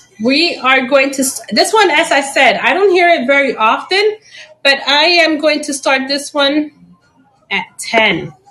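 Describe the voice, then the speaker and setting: The speaker uses a raised, projected voice with lively intonation. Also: woman, high pitch for a woman, fairly slow pace. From Chicago, raised by Puerto Rican family; later Puerto Rico. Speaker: plant seller and teacher. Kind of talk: live-stream sales auction. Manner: casual, chatty.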